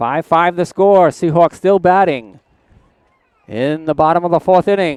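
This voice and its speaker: In a Rhode Island accent, a man talks at a fairly slow pace with a high pitch, in a dry, close sound with no echo. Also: ordinary pitch variation. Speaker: play-by-play sports commentator. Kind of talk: live commentary.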